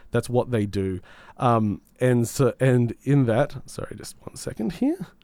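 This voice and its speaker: On a very clean recording with a silent background, a man with an Australian accent speaks in a dark, mellow tone at medium pitch with ordinary pitch variation. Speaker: community radio gaming show host. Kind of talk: casual chat and game reviews. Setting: radio studio.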